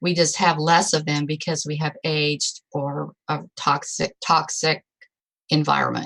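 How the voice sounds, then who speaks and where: Very deep, low-pitched woman's voice with vocal fry, monotone, flat intonation and a fairly slow pace. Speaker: product testimonial speaker. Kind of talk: testimony.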